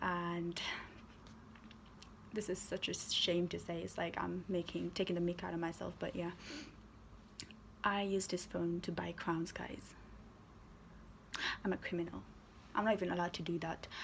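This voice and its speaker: A woman speaks at a moderate pace in a fairly low pitch, with monotone, flat intonation and vocal fry. Long, frequent pauses break up her speech. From Nepal. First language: Nepali. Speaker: gaming YouTuber. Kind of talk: casual storytime vlog.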